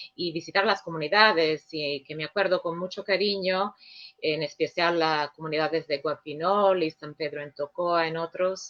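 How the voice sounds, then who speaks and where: A woman with a non-native accent speaks at a moderate pace, her fairly low pitch held in fairly even intonation. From Sicily, Italy. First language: Sicilian/Italian (speaking Spanish). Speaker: director of an international Jesuit office. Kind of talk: radio interview. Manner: hesitant, with filler sounds.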